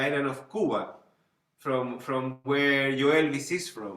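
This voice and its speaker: A man with a Spanish accent speaks at a very slow pace and a fairly high pitch. His intonation is fairly even, and there is audible room echo. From Chile, Santiago. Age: 40s. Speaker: band leader and music teacher. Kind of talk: lecture. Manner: halting, with many repetitions.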